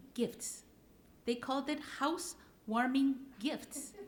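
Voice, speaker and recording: Noticeable background noise accompanies a woman talking at a high pitch. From Puerto Rico and Minnesota. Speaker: panelist. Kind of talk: panel discussion.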